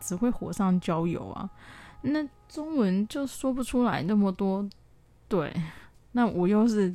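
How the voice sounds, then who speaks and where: Lively intonation marks a woman's medium-pitched voice with a dark, mellow tone. She talks at a fairly slow pace. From southern Taiwan. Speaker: podcaster. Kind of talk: personal diary monologue. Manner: hesitant, many fillers.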